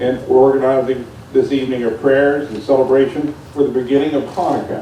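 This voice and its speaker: Over noticeable background noise and audible room echo, a man with an American accent talks at a fairly quick pace in a fairly high pitch, his intonation monotone and flat. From West Virginia (Buckhannon). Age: 60s. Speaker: city official. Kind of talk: public speech. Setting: outdoors. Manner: formal.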